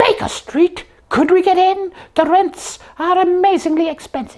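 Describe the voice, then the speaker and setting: In a cartoonish character voice, the speaker talks at an extremely high pitch. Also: moderate pace. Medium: puppet.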